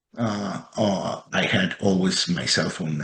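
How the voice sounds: The clip has a natural reading voice. It is delivered throughout in a natural reading voice.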